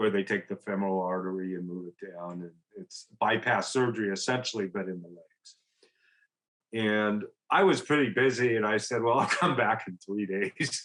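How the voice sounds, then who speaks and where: A man in a plain, everyday voice speaks at a moderate pace and fairly low pitch, with ordinary pitch variation and big swings in loudness. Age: 60s. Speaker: recovery guest, entrepreneur and business coach. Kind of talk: personal testimony in interview. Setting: podcast interview.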